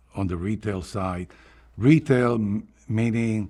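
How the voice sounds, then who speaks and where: Speaking very slowly, a man has a Cuban accent and ordinary pitch variation. The recording is very clean, with a silent background. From Cuba, Havana. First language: Spanish. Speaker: retired newspaper advertising executive. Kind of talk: oral history interview. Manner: halting, with fillers and repetitions.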